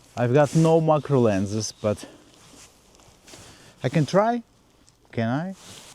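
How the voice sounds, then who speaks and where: A man speaks with a non-native accent in a dark, mellow tone. His pace is very slow. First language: not English. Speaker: landscape photographer. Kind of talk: vlog tutorial. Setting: outdoors.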